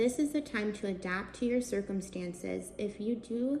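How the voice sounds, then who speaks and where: A woman with a medium pitch talks at a fairly slow pace against noticeable background noise. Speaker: tarot reader and wine host. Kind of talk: tarot reading.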